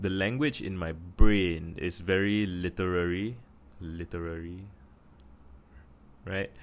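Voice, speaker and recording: Speaking with a Singaporean accent, a man has a very deep, low pitch and fairly even intonation. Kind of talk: casual talk to camera.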